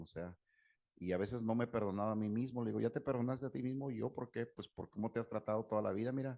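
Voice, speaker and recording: Here a man speaks with a Mexican accent. His pitch is fairly low and his intonation fairly even. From Mexico. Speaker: psychologist/therapist. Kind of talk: talk with Q&A.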